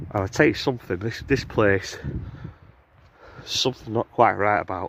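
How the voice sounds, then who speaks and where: A fairly low-pitched man with a strong northern English accent, at a moderate pace. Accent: thick northern English. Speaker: outdoor vlogger, cryptid enthusiast. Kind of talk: casual monologue while walking in woods. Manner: casual, hesitant with fillers.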